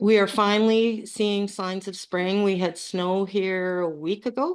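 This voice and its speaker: A woman's normal speaking voice, medium in pitch, with a Canadian accent, a fairly slow pace, fairly even intonation and a quiet background. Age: 50s. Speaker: coaching client. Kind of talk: testimony.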